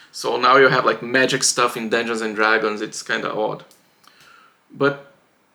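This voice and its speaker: The tone here is bright and sharp. It belongs to a man talking at a moderate speed. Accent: non-native. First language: not English. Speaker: writing vlogger. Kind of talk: casual vlog monologue. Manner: halting, with fillers and restarts.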